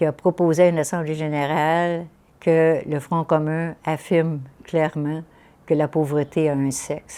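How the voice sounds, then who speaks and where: Her voice is very deep and low for a woman, with a dark, mellow tone. She speaks at a fairly slow pace in a monotone, flat intonation. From Quebec, Eastern Townships (Estrie). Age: 80s+. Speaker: nun and social activist. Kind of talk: interview testimony. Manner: hesitant, many fillers.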